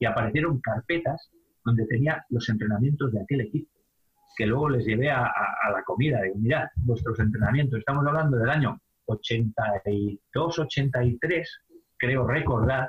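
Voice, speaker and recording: Somewhat breathy speech comes at a fairly slow pace with very even loudness and ordinary pitch variation. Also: man, medium pitch for a man. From Spain, Palencia (Castilla y León). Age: 50s. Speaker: basketball coach and high school teacher. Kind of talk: interview.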